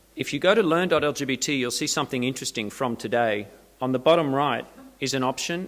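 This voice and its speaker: In an Australian accent, a man speaks with ordinary pitch variation. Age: middle-aged. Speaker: LGBT marketing consultant. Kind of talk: conference presentation. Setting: seminar stage with audience.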